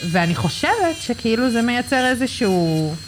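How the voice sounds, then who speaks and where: A woman with ordinary pitch variation speaks at a fairly slow pace while noticeable background noise carries on. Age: 20s. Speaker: manicure client. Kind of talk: casual chat. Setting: nail salon studio. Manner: halting.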